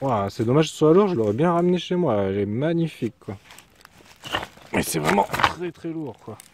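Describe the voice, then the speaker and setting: A man with a fairly high voice talks at a moderate pace, pausing long and often. His pitch swings very widely and his loudness rises and falls sharply, over noticeable background noise. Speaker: metal detecting youtuber. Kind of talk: casual vlog narration outdoors. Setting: outdoors in a field.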